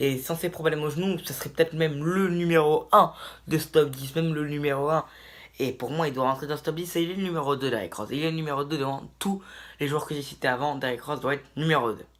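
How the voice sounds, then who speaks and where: Talking at a very fast pace, a man speaks with a fairly high pitch. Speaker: basketball YouTuber. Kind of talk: video commentary monologue. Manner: animated.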